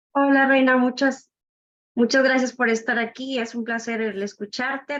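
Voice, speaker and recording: This is a woman speaking at a high pitch. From Nuevo Laredo, Tamaulipas, Mexico. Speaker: book club participant. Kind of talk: audience question.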